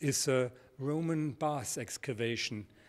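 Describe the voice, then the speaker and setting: A man speaks with a German accent and ordinary pitch variation. The recording is very clean, the background silent. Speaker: product presenter for a model landscape manufacturer. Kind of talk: product presentation. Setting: studio. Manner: halting, frequent repetitions.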